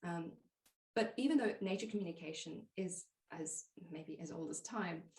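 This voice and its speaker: At a moderate pace, a woman speaks in a somewhat breathy voice with a fairly low pitch and ordinary pitch variation. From South Africa. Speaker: plant pathologist and nature communication teacher. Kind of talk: podcast interview answer.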